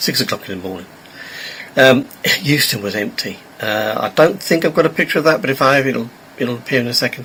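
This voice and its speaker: A man's medium-pitched, very fast speech with lively intonation, long, frequent pauses and noticeable background noise. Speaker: train travel vlogger. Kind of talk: casual vlog narration. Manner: halting, many fillers.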